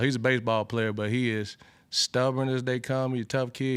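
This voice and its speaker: Speaking in an Alabama accent, a man holds a medium pitch and a moderate pace with monotone, flat intonation, in a very clean recording with a silent background. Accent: Southern US (Alabama). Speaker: football coach. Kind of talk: press conference Q&A. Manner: conversational with frequent fillers and repetitions.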